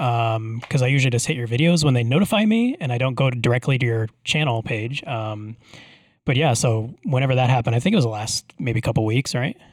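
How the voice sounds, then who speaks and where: An unremarkable speaking voice moves at a fairly quick pace with ordinary pitch variation, the sound dry and close with no echo. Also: man. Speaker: podcast host. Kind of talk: casual chat. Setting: video call.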